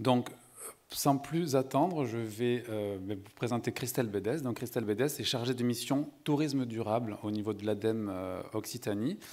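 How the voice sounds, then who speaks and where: In a southern French accent, the speaker goes at a fairly slow pace with ordinary pitch variation, recorded very cleanly over a silent background. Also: man, medium pitch for a man. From southern France, Montpellier. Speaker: sustainability consultant, panel moderator. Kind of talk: conference panel moderation. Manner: hesitant, many fillers.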